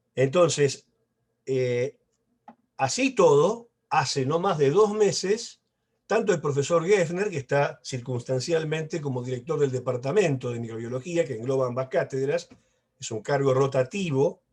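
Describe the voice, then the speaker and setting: With a Rioplatense accent, a man speaks at a fairly slow pace in a somewhat breathy, fairly high voice with lively intonation. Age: 60s. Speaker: professor. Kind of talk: lecture. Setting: video call.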